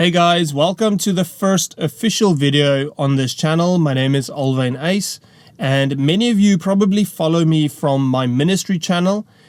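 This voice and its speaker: He speaks with a South African accent and a high pitch. His loudness stays very even, with hardly any pauses. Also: ordinary pitch variation, moderate pace. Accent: Afrikaans South African English. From South Africa, rural farm. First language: Afrikaans. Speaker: preacher. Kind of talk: testimony. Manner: casual, conversational.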